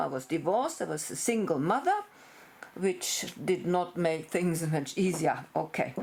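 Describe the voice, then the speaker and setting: With a German accent, a woman speaks at a fairly low pitch against noticeable background noise. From Germany. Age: 60s. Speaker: veterinarian. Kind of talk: personal introduction video.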